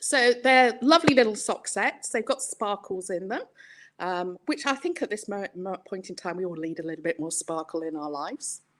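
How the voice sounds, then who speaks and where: With an English accent, a woman speaks in very wide pitch swings and big shifts in loudness. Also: medium pitch for a woman, moderate pace. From England. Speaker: yarn dyer and market stallholder. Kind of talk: casual chat showing products on a live stream.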